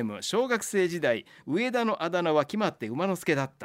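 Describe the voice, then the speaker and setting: A man's high voice with very wide pitch swings at a moderate pace, on a very clean recording with a silent background. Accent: Kansai. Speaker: radio host. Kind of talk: casual chat.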